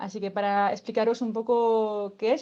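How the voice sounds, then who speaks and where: A woman's fairly high voice with a dark, mellow tone and a French accent, over a quiet background. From France. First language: French (speaking Spanish). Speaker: workshop facilitator. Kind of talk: explanatory talk. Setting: online event.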